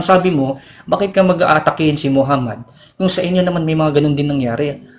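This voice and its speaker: A man speaks at a very fast pace. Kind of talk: heated debate. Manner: fast, repetitive, interrupting.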